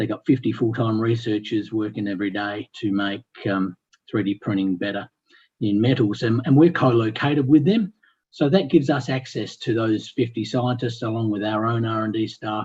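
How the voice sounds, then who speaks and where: Speaking with an Australian accent, a man has a medium pitch and ordinary pitch variation. His voice is somewhat breathy against a quiet background. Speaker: company executive presenting. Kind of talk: company presentation on webinar. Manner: fast.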